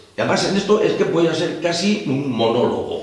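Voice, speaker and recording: A high-pitched man at a moderate pace with lively intonation, amid audible room echo and noticeable background noise. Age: 60s. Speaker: businessman, tigernut trader. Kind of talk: heated confrontational interview. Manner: forceful, combative.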